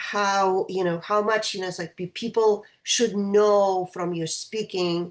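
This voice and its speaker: A woman with a Russian accent, medium in pitch, very slow, with fairly even intonation. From Russia, St. Petersburg. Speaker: choral conductor. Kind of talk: interview. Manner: halting.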